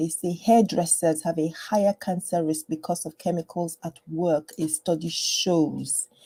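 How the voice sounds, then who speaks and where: Quiet and somewhat breathy, a woman speaks at a fairly low pitch and moderate pace with a dark, mellow tone, fairly even intonation, and a dry, close sound with no echo. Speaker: general practitioner and health educator. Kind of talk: live stream health talk. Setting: home live stream, screen share. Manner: quiet, low voice; hesitant, many fillers.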